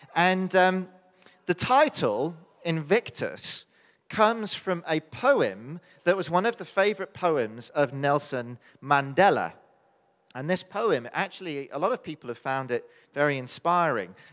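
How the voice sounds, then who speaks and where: A man with a British accent speaks fairly slowly in a high voice with very wide pitch swings. The recording is very clean, with a silent background. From United Kingdom. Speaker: preacher. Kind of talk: sermon. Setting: church.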